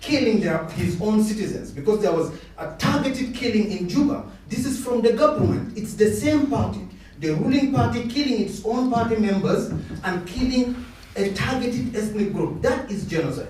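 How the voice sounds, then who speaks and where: Over noticeable background noise and audible room echo, a man speaks at a moderate pace in a high voice. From South Sudan. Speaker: audience member asking a question. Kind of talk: public Q&A comment. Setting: public discussion event with audience. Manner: animated.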